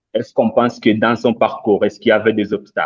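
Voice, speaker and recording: A man with a non-native accent speaks in dry, close sound with no echo. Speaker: debate participant. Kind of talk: online panel discussion. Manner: halting, many hesitations.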